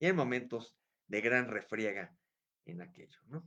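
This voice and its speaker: The tone here is bright and sharp. It belongs to a man speaking at medium pitch. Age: 60s. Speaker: history enthusiast youtuber. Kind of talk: casual history talk. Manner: hesitant, many fillers.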